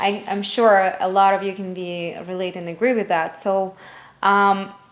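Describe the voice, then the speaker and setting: In a Russian accent, a woman speaks fairly slowly with monotone, flat intonation. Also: medium pitch for a woman. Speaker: lash artist and business founder. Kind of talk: interview. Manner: halting non-native phrasing with fillers.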